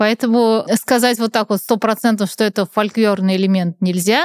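In a very clean recording with a silent background and a dry, close sound with no echo, a woman uses an ordinary speaking voice with a fairly high pitch and ordinary pitch variation. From Russia, Nizhny Novgorod. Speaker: author and communication trainer. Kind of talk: casual chat.

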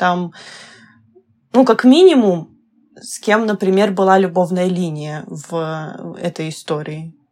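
Very slowly, a woman speaks at medium pitch with lively intonation. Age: 20s. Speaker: visual novel scriptwriter. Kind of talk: casual podcast interview.

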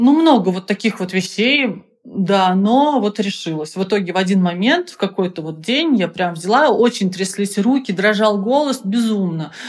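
A woman with an unremarkable speaking voice talks at a moderate pace and medium pitch. Her intonation is lively, with hardly any pauses. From Russia, Penza. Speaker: business founder. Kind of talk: interview.

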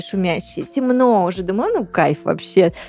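Music plays in the background as a woman speaks at a moderate pace. Her tone is animated, with lively intonation. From Russian Far East, Blagoveshchensk. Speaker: radio host. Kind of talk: casual chat.

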